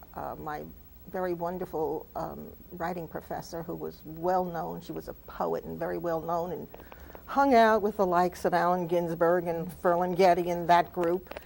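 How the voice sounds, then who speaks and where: Speaking with a New Jersey accent, a woman's voice shows big swings in loudness. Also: moderate pace. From New Jersey (Jersey City). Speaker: author. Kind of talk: TV talk show interview.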